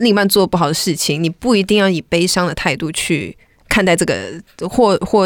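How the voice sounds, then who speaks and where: Talking at a fairly quick pace, a woman has a medium pitch, ordinary pitch variation and an unremarkable speaking voice. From Malaysia. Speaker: R&B singer-songwriter. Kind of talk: casual interview chat.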